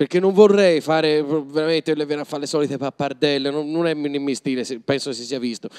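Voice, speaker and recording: Over a quiet background, a man with a fairly high pitch talks at a fairly quick pace with hardly any pauses. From Tuscany. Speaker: comedian and actor; comedian, actor. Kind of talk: live stage interview. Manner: animated. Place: hall. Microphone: handheld.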